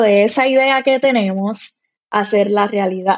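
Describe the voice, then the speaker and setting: Speaking with a plain, everyday voice, a woman uses a fairly high pitch and ordinary pitch variation. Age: 30s. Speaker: content creator and mom blogger. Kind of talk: casual interview chat.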